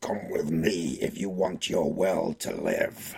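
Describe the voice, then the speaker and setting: Speaking at a fairly slow pace, a man puts on a gruff character voice pitched very deep and low. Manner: commanding.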